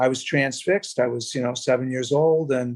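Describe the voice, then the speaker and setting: A man talks at a moderate pace with an American accent. His is a plain, everyday voice. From US Northeast. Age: 60s. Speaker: bassist. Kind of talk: casual chat.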